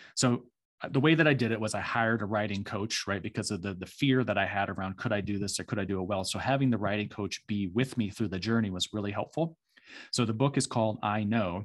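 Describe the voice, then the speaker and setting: With an American accent, a man talks at a fairly quick pace in an unremarkable speaking voice with ordinary pitch variation, against a quiet background. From US Midwest, small farming town in Michigan. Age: 40s. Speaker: executive coach and leadership consultant. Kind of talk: casual interview.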